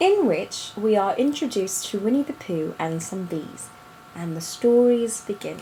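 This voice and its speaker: Her intonation is lively and her pace fairly slow, at a medium pitch for a woman. Noticeable background noise runs beneath. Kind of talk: book reading aloud of a children's story. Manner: casual, conversational.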